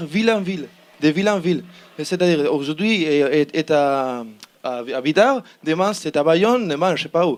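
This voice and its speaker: A man speaks with a Spanish accent at a fairly slow pace. His pitch is fairly high, with ordinary variation. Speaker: student team member pitching a project. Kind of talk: project pitch presentation. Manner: halting, many repetitions and hesitations.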